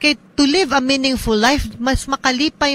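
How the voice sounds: A fairly bright tone at a moderate pace. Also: woman.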